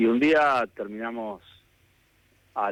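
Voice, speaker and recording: Recorded with a dry, close sound and no echo, a man speaks at a very slow pace. He has an Argentine accent. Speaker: government minister. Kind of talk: radio phone interview answer. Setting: phone line.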